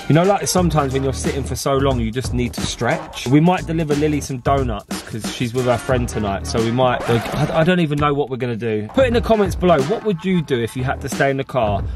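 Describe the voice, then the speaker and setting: A man at a very fast pace with hardly any pauses, in a dry sound with no echo, clear music in the background. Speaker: family vlogger. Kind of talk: casual vlog chat. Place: car. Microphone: phone near.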